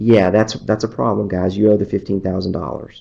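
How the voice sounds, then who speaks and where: With an ordinary speaking voice, a man talks at a fairly quick pace in a fairly low pitch. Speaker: attorney. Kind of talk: webcast presentation.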